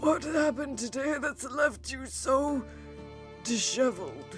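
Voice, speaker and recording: Clear music plays in the background. The speaker uses a put-on character voice at a fairly slow pace. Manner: concerned, questioning.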